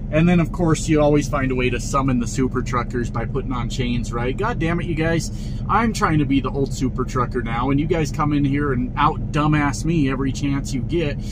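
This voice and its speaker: Against noticeable background noise, a man talks at a fairly quick pace with a dry sound and no echo. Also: ordinary pitch variation. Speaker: truck driver vlogger. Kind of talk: casual vlog chat. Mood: exasperated, mocking. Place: car. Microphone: phone near.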